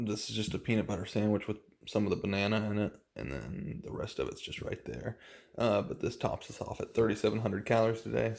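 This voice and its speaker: Doing a put-on character voice, a man speaks quietly and very fast in a raspy, fairly low pitch. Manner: quiet, hushed.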